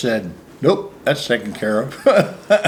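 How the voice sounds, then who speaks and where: A medium-pitched man at a fairly slow pace, with noticeable background noise. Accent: Midwestern American. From US Midwest, Ohio. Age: 70s. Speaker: minister. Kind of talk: casual interview.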